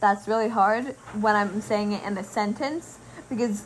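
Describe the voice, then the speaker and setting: A woman talks slowly-ish, at a fairly slow pace, with a fairly high pitch. Her voice is somewhat breathy and her intonation fairly even. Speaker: podcast host. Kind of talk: casual chat.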